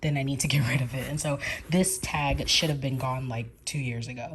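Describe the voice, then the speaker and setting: With an American accent and a very deep, low pitch, a woman talks at a moderate pace in a somewhat breathy voice with fairly even intonation. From New York and Georgia, USA. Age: 30s. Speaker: crisis counselor. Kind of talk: casual vlog talk to camera.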